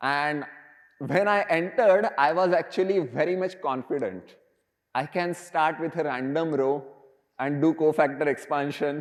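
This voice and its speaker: Speaking at a moderate pace, a man with a Marathi accent uses a fairly high pitch and ordinary pitch variation. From India, Maharashtra. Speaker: professor. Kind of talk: lecture.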